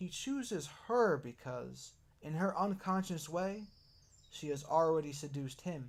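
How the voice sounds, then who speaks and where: A soft-spoken man talks at a fairly slow pace. His pitch is fairly high. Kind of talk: ASMR book reading.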